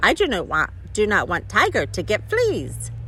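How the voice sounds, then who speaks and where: Over clear background noise, someone performs a put-on character voice at a moderate pace. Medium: read story. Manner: earnest, literal.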